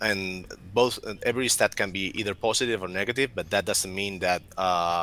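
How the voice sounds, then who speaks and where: A man with a strong Spanish accent speaks at a moderate pace in a bright, sharp tone and fairly low pitch. His intonation is fairly even, and the recording is very clean with a silent background. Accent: heavy Spanish accent in English. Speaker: game developer. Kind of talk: livestream commentary. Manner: halting.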